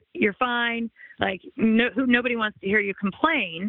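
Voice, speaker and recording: An unremarkable speaking voice with lively intonation at a moderate pace. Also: woman. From US West Coast, Los Angeles area. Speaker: former sports anchor, now realtor. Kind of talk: podcast interview.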